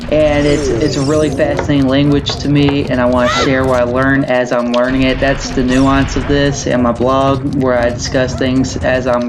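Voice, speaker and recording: Someone speaks with a Southern US accent over noticeable background noise. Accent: southern US drawl. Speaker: gaming and language-learning YouTuber. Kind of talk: casual video commentary. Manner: casual, halting with fillers.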